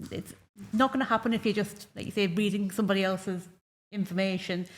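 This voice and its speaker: A somewhat breathy woman with a Geordie accent, medium pitch and ordinary pitch variation, at a very fast pace on a very clean recording with a silent background. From northeast England. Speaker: esports broadcaster. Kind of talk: panel discussion. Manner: animated.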